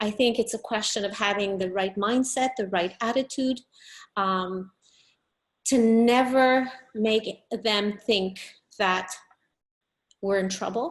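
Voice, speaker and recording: With a Quebec accent, a woman speaks at a fairly slow pace and fairly high pitch, keeping her intonation fairly even against a quiet background. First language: French. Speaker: business owner. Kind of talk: interview.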